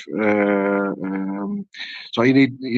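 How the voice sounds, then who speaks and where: A man talks with a Dutch accent. His pitch variation is ordinary. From Netherlands. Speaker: FMCG industry expert. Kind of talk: panel discussion.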